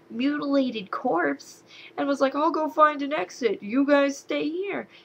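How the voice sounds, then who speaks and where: Lively, high-pitched speech from a woman. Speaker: movie reviewer. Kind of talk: casual video review. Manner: animated.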